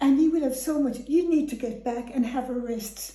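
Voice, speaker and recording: Against noticeable background noise, the speaker uses a west of Ireland accent, talking at a moderate pace with ordinary pitch variation. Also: woman. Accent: west of Ireland Irish. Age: 80s+. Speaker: elderly relative. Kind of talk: casual chat.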